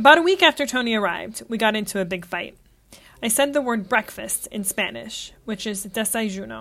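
Speaking at a moderate pace, a woman with a fairly high pitch uses lively intonation and a bright, sharp tone touched by vocal fry. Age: 30s. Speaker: travel podcaster. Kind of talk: scripted narration.

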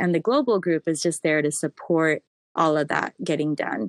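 The recording of this woman's fairly low voice has a dry, close sound with no echo. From Southern California. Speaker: trade association community director. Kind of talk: interview.

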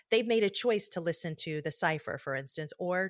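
A plain, everyday voice: a woman in an American accent, fairly low in pitch with ordinary pitch variation, at a moderate pace, on a very clean recording with a silent background and a dry, close sound with no echo. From US Midwest, Detroit, Michigan. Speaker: journalist and podcast host. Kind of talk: interview conversation.

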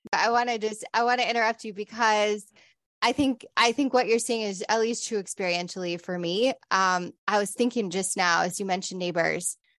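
A woman with a plain, everyday voice talks at a moderate pace and fairly high pitch, with ordinary pitch variation. The sound is dry and close, with no echo, over a quiet background. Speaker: podcast host and pastor. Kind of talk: interview conversation.

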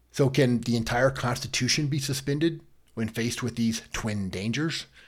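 A man with an American accent sounds somewhat breathy and uses ordinary pitch variation. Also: very clean recording, silent background. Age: 50s. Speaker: legal podcast host. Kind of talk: solo commentary podcast.

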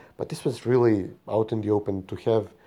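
The tone is dark and mellow, with a Macedonian accent. The pace is moderate over a quiet background. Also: man. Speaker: podcast co-host. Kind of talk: casual political chat.

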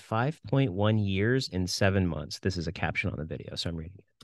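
Over a quiet background, a man speaks at a very fast pace with a fairly low pitch. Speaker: podcast host. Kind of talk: casual chat. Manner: animated.

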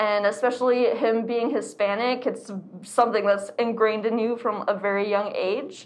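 Against audible room echo, a speaker with an American accent talks at a moderate pace in a monotone, flat intonation. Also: woman, fairly high pitch for a woman. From Arizona. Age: 20s. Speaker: artist and activist. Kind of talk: casual chat.

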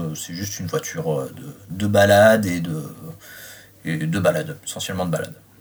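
A man with a fairly low pitch speaks at a moderate pace, taking long, frequent pauses and swinging very widely in pitch. Noticeable background noise is present. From Reims, France. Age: 30s. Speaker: car enthusiast. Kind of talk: interview. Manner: halting.

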